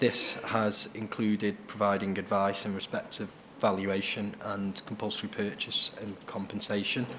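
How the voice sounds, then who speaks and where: The speech runs with hardly any pauses in a monotone, flat intonation. Noticeable background noise sits behind it. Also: man, fairly low pitch for a man, moderate pace. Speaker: expert witness, land surveyor. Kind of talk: testimony. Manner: formal. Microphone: too quiet, directional mics.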